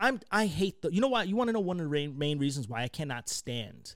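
Animated in tone, a man talks at a moderate pace with very wide pitch swings. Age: 20s. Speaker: podcast host on military mental health. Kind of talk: casual chat. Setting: live stream studio.

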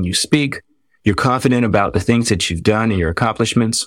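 Speaking in a normal speaking voice with an American accent, a man keeps a medium pitch and a moderate pace in a very clean recording with a silent background. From Washington, D.C. area. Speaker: dermatologist. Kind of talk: interview.

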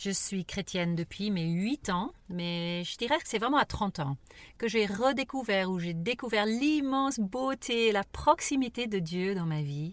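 Over a very clean recording with a silent background, a woman at medium pitch speaks at a fairly slow pace with very wide pitch swings. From raised abroad, missionary parents. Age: 50s. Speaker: podcast co-host. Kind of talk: casual conversation. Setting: in a parked car.

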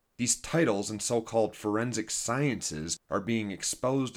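An unremarkable speaking voice at a fairly slow pace. The recording is very clean, with a silent background. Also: man. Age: 40s. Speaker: podcast host, former addict with a PhD. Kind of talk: personal monologue / scripted narration.

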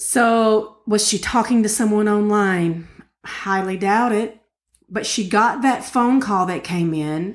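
Speaking very slowly in an Appalachian accent, a woman uses a fairly high pitch with ordinary pitch variation. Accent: Appalachian Southern US. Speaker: podcast co-host. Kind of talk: casual true crime discussion.

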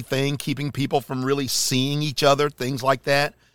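A man's fairly high, energetic voice in a North Carolina accent at a moderate pace, dry and close with no echo. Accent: Southern US (North Carolina). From US South, Charlotte, North Carolina. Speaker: podcast host. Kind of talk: casual holiday message monologue. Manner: loud.

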